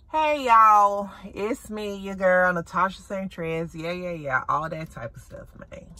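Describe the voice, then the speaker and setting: A woman with a Southern US accent talks at a fairly slow pace and a medium pitch, with lively intonation. Her loudness swings widely, and the sound is dry with no echo. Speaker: shopping vlogger. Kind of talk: casual vlog chat. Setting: in a thrift store. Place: car. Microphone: phone near.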